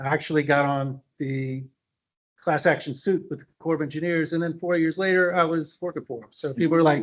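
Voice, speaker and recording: Speaking fairly quickly with an American accent, a man uses a plain, everyday voice, fairly high pitch and fairly even intonation. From US South, New Orleans, Louisiana. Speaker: value engineering officer, landscape architect. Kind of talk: conference presentation. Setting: meeting room with audience and online attendees.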